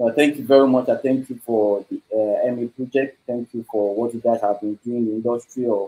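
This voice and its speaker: A man's medium-pitched voice with a dark, mellow tone at a moderate pace. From Nigeria. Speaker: host of live online blockchain talk series. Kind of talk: live online event hosting. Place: home room. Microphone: video call.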